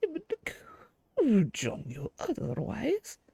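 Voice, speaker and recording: Delivered at a fairly slow pace, this put-on character voice has a warm tone. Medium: game stream. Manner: warm, chatty, grandmotherly.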